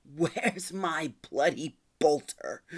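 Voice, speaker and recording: This put-on character voice growls at a middle pitch. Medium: read story. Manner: gruff, defiant.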